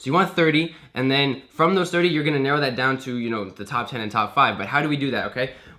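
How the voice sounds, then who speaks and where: Delivered at a very fast pace with hardly any pauses, the speech has an animated tone and ordinary pitch variation, with noticeable background noise. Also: man, fairly high pitch for a man. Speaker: online business coach. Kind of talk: tutorial. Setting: screen share recording. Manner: casual, animated.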